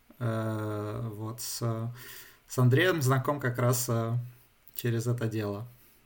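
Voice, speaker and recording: A man's medium-pitched voice at a very slow pace, with fairly even intonation, long and frequent pauses, and audible room echo. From St Petersburg, Russia, moved to Germany at 13. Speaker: software developer. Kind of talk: casual interview. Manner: halting, many fillers.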